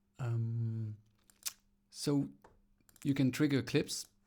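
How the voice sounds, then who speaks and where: A man's medium-pitched voice at a very slow pace, fairly even in intonation, on a very clean recording with a silent background. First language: French. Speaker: electronic musician demoing software. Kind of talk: tutorial. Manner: halting, many fillers.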